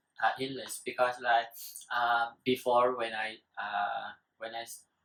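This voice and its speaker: A man of medium pitch with a Vietnamese accent, monotone and flat, at a fairly slow pace with big swings in loudness. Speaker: student. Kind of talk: casual talk show discussion. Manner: halting, many fillers.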